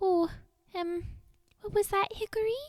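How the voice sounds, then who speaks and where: A woman performs a put-on character voice. Her pitch is extremely high and her pace is moderate. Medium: read story. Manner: nervous, hesitant.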